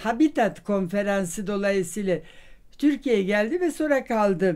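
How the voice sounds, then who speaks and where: A woman talks at a fairly high pitch. Her intonation is lively. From Vienna. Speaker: social scientist and professor. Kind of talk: interview answer. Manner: hesitant, many fillers. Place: home room.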